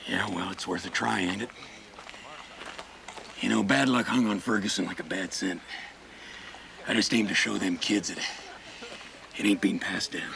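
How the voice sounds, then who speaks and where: A man uses a put-on character voice, drawling at a fairly low pitch and a moderate pace with ordinary pitch variation. He takes long, frequent pauses, and background noise is clear. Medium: short film. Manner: plainspoken, folksy drawl.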